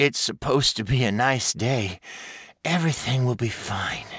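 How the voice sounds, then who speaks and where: Someone speaks in a put-on character voice at a moderate pace. The pitch variation is ordinary. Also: man, medium pitch for a man. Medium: read story. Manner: inner thoughts, anxious.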